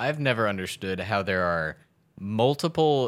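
A man with a normal speaking voice, lively intonation and a moderate pace, on a very clean recording with a silent background. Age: 20s. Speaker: stand-up comedian. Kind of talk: casual comedy chat.

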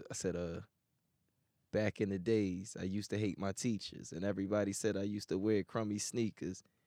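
Dry and close with no echo, a man with an American accent has an unremarkable speaking voice, fairly low in pitch and at a fairly quick pace. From Philadelphia. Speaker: rapper.

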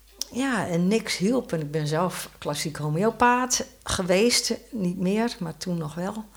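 Over noticeable background noise, a woman with a medium-pitched voice and lively intonation talks at a very slow pace with hardly any pauses. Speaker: author. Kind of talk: casual chat. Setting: studio.

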